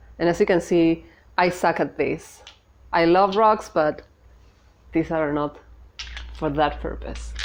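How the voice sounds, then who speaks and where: A woman talks at a fairly slow pace with fairly even intonation and a fairly low pitch. The background is quiet. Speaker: spiritual YouTuber. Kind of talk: casual video talk. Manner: halting, many fillers and restarts.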